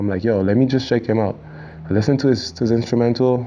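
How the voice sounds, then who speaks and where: A man speaks with a Quebec accent. His intonation stays fairly even. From Quebec, Montreal. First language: French. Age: young. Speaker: rapper. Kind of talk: casual interview. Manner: halting, many repetitions and fillers.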